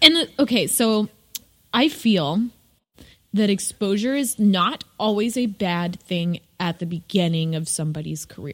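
With an ordinary speaking voice at medium pitch, a woman talks at a fairly slow pace using lively intonation. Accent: American. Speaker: podcast co-host and visual artist. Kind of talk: casual chat.

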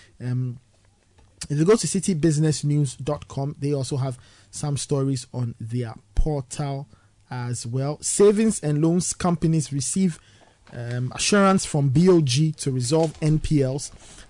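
A man with a Ghanaian accent talks at a fairly slow pace, his voice somewhat breathy with a dark, mellow tone. His pitch sits fairly high for a man, with ordinary pitch variation. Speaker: radio host. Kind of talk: breakfast radio show. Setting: studio.

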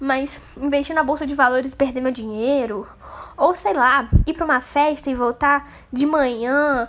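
Her voice is high and shows ordinary pitch variation as the woman talks at a moderate pace. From Brazil, interior of Rio de Janeiro state. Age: 20s. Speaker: podcaster. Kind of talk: casual monologue.

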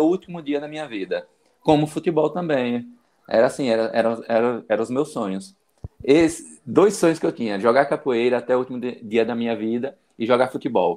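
With a plain, everyday voice, a man talks at a fairly quick pace and ordinary pitch variation. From Bahia interior, Brazil. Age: 40s. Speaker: medical student and para-cyclist. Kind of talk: interview testimony. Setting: live video stream.

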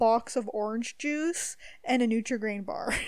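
In a Canadian accent, a woman with an unremarkable speaking voice talks at a fairly high pitch. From Ontario, Canada. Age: 20s. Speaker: podcast host. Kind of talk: casual chat.

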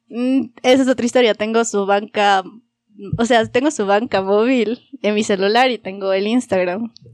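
A woman speaks at a moderate pace in an ordinary speaking voice, fairly high in pitch with fairly even intonation. The sound is dry and close, with no echo. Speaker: podcast host. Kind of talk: casual chat among friends.

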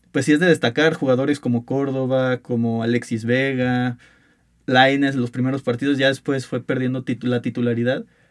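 Heard in a very clean recording with a silent background, a man has an unremarkable speaking voice. He talks at a medium pitch and a moderate pace. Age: 20s. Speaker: university student sports podcast host. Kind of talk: casual sports debate.

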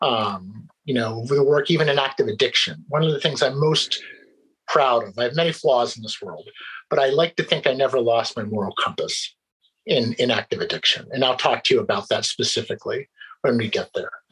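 In a Mid-Atlantic American accent, a man talks at a fairly quick pace. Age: 40s. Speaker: employment lawyer and recovering addict. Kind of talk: interview, personal testimony.

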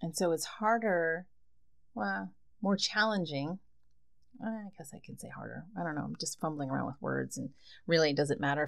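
A woman with an American accent, very deep and low in pitch, with vocal fry, very wide pitch swings, a relaxed tone and a moderate pace. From New Jersey. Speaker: podcast host. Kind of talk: casual solo monologue. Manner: relaxed, laughing.

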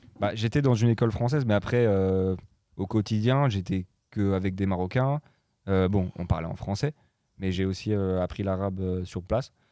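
A dark, mellow tone at a moderate pace. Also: man, fairly low pitch for a man, ordinary pitch variation. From Morocco (French expatriate family). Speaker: DJ and music producer. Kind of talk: casual chat.

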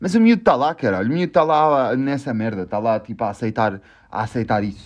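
This man has a European Portuguese accent and a medium pitch. He talks at a moderate pace with lively intonation. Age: 20s. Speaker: podcast host. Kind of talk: casual chat. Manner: calm.

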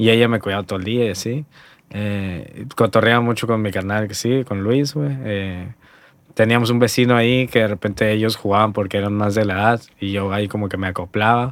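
A man speaks in a plain, everyday voice at a fairly low pitch. His pace is fairly quick and his intonation fairly even. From Hermosillo, Sonora, northern Mexico. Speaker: graphic designer and lettering artist. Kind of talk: casual chat. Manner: relaxed, slangy.

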